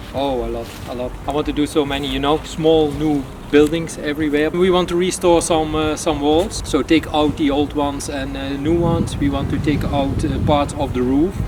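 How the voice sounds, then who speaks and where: Against noticeable background noise, a man with a fairly high pitch speaks at a moderate pace in monotone, flat intonation. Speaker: airsoft field owner. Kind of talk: interview. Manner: halting, many fillers.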